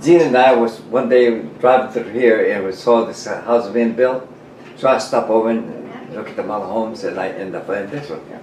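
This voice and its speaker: Audible room echo and noticeable background noise fill the recording as the words come at a fairly quick pace. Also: man. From New Mexico. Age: 90s. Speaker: war veteran. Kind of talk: casual chat. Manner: halting.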